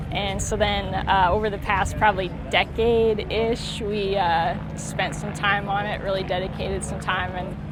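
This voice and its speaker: Speaking at a moderate pace in a relaxed tone, a woman with an American accent is heard with noticeable background noise and audible room echo. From Iowa, US Midwest. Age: 20s. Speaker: classic car owner. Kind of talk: casual interview. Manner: relaxed, many filler words.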